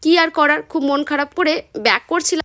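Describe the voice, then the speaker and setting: The speaker has a West Bengal accent. The sound is dry and close, with no echo. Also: woman. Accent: Bengali (West Bengal). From West Bengal, India (Murshidabad). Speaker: food and travel vlogger. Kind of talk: vlog narration.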